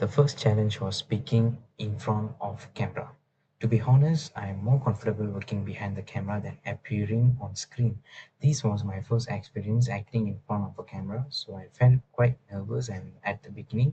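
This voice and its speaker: A man with a non-native accent, somewhat breathy, dark, mellow tone, moderate pace, fairly even intonation and big swings in loudness. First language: not English. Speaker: university student. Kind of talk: class presentation. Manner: halting, with fillers and restarts; formal.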